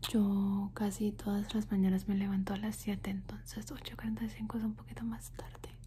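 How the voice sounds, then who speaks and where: The speaker goes at a fairly slow pace with hardly any pauses. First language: English (speaking Spanish). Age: 20s. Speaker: ASMR youtuber. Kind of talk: ASMR Q&A video. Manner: soft whispered ASMR delivery; repetitive word looping.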